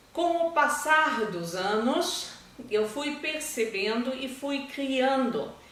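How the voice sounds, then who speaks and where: At a very slow pace, a woman with a high pitch and lively intonation speaks amid audible room echo and noticeable background noise. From Brazil, raised in German-speaking family. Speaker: language school founder and German teacher. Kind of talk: testimonial interview.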